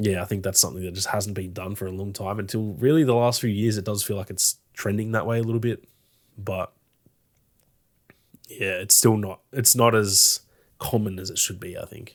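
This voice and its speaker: Speaking in an Australian accent, a man uses a fairly low pitch and fairly even intonation at a moderate pace, with long, frequent pauses. His loudness swings widely, and the recording is very clean with a silent background. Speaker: gaming podcast co-host. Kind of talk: casual chat.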